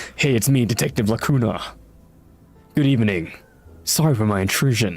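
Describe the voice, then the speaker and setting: Faint music plays in the background as a man does a gruff, put-on character voice at medium pitch and a fairly quick pace. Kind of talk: film noir.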